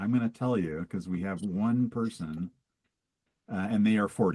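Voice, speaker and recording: A man with a plain, everyday voice and a fairly low pitch speaks at a fairly slow pace with lively intonation. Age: 60s. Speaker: trek organizer. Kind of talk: live Q&A.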